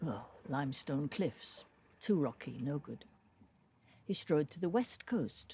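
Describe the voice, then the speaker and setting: Speaking at a very slow pace, a woman with a very deep, low pitch and a dark, mellow tone sounds somewhat breathy, her pitch swinging very widely. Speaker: storyteller. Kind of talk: folk tale reading.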